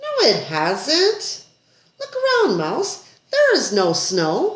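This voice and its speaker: A woman's squeaky, put-on character voice, extremely high-pitched and very slow. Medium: read story. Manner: curt, grumbling.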